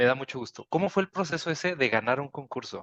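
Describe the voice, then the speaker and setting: In a dry, close sound with no echo, a man with a northern Mexican accent talks at a very fast pace, his fairly high pitch showing ordinary variation. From northern Mexico, Chihuahua. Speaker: board game designer. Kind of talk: panel talk.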